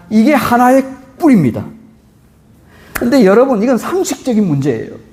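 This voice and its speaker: The speaker's pace is fairly quick. Behind the words, music plays. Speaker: pastor. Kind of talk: sermon.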